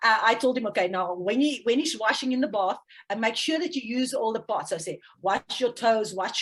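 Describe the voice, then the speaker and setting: A woman speaks in a South African accent at a fairly quick pace. Her fairly high pitch shows ordinary variation. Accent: Afrikaans South African English. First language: Afrikaans. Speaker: parenting coach. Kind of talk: interview. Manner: halting.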